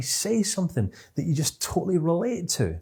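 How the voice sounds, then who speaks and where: A dark, mellow tone comes with a somewhat breathy quality and a Scottish accent. The pitch swings very widely. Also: man. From Scotland. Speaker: CBT trainer. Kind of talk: online course lecture. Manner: fast.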